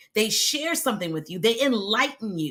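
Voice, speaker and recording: Bright and sharp, a woman's fairly high voice sounds animated, with very wide pitch swings. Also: very clean recording, silent background. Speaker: video content coach. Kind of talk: live stream talk to audience.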